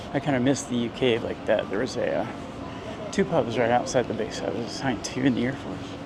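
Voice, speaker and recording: Someone with an American accent talks at a very fast pace in fairly even intonation. Noticeable background noise is present. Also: man, medium pitch for a man. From US Midwest, central Indiana. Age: 60s. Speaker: travel vlogger, retired veteran. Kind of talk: walking tour vlog narration. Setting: outdoors, walking on city streets. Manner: casual, chatty.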